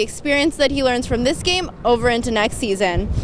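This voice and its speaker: Over noticeable background noise, a woman speaks very fast. Her pitch is high, with ordinary variation. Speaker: TV reporter and anchor. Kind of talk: local TV news report. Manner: professional, clear.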